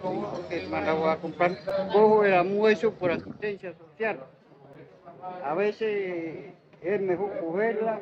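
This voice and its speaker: A high-pitched man at a fairly slow pace, fairly even intonation and long, frequent pauses, over noticeable background noise. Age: 60s. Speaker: passer-by interviewed on street. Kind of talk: street interview.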